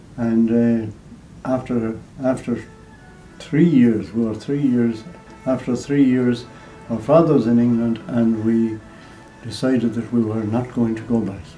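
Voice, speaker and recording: With music playing in the background, a man with an Irish accent speaks at a fairly slow pace and medium pitch, taking long, frequent pauses. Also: fairly even intonation. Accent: Irish (Mayo). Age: 80s+. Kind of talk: interview answer.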